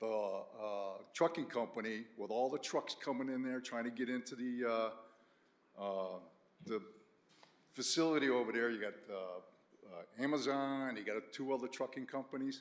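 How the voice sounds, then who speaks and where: Delivered at a moderate pace, an unremarkable speaking voice carries ordinary pitch variation. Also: man, medium pitch for a man. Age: 60s. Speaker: resident speaking at public hearing. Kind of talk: public comment at town meeting.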